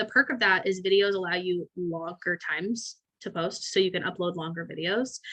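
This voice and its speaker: A woman speaks at a medium pitch. Her tone comes across bright and sharp. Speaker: salon owner teaching a marketing webinar. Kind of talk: webinar presentation. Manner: fast; animated.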